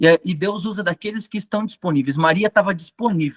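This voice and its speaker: A man talks at a high pitch with very wide pitch swings. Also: dry, close sound with no echo. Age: 30s. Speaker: catechism trainer. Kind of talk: lecture.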